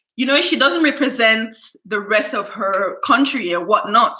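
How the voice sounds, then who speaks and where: Her tone animated, a woman talks with lively intonation. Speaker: YouTuber. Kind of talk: casual storytime livestream. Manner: naturally loud.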